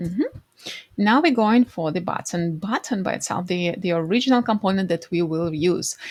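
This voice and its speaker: A somewhat breathy woman speaks with a non-native accent and lively intonation at a moderate pace. The sound is dry and close, with no echo. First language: not English. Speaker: design tutorial creator. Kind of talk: screen-recorded tutorial. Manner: halting, with fillers.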